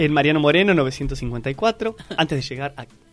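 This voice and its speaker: A man at a fairly high pitch with ordinary pitch variation, amid noticeable background noise. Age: 20s. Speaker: actor and theatre teacher. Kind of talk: radio interview. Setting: radio studio.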